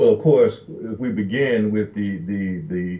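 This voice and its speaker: This man has an unremarkable speaking voice with an American accent and a fairly low pitch. His intonation is lively and his pace fairly slow. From Gary, Indiana, US Midwest. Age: 60s. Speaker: historian and educator. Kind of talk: interview.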